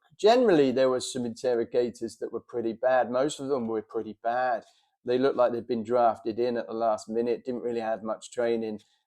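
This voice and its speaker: In a London accent, a man talks at a fairly quick pace with a medium pitch, a dark, mellow tone and monotone, flat intonation, against a quiet background. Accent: Cockney London. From London, England. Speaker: military veteran and former prisoner of war. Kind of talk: monologue to camera about experience. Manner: casual with many fillers.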